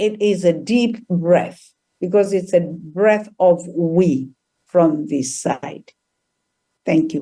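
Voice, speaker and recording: This woman talks at a very slow pace. Her voice sits fairly low, with a dark, mellow tone. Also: ordinary pitch variation. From Tanzania. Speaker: trauma healer and author. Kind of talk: interview. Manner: halting.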